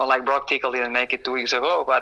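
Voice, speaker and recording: A man with a Spanish accent speaks at a medium pitch with flat, monotone intonation. His tone is bright and sharp. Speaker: pro motocross racer. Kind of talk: interview. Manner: halting.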